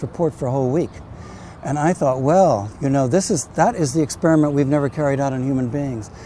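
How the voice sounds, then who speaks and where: The delivery is very fast. The speaker has an American accent. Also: man. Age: 70s. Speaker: novelist. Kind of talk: personal testimony. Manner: halting.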